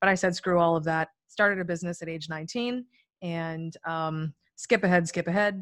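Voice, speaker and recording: Recorded very cleanly against a silent background, an unremarkable speaking voice moves at a moderate pace with fairly even intonation. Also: woman. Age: 30s. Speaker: entrepreneur and author. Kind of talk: casual interview chat.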